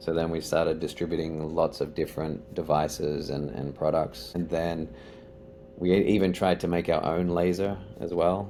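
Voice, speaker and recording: With an Australian accent, a man speaks at a very deep, low pitch with ordinary pitch variation. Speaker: company executive. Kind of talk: podcast interview.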